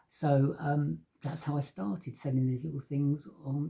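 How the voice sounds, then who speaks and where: Somewhat breathy and dark, mellow in tone, a man with an English accent speaks at a fairly high pitch. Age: 50s. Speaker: painter. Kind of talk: casual talk to camera about his artworks. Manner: casual, with many fillers and hesitations.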